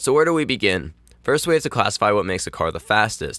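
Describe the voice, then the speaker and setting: Speaking at a fairly quick pace, a man has a bright, sharp tone. The recording is very clean and dry, with a close sound, no echo and a silent background. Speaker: gaming video creator. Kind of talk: scripted narration. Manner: reading aloud.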